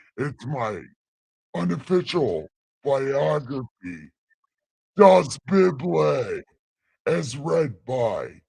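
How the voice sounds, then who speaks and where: In a put-on character voice, a man at a medium pitch speaks very slowly with very wide pitch swings and long, frequent pauses. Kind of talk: comic boastful, profane. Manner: booming, grandiose.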